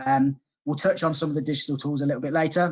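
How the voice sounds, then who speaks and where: Talking at a fairly quick pace, a man with a Coventry accent uses ordinary pitch variation. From Coventry, England. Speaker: software sales manager. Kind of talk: webinar presentation. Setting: online webinar.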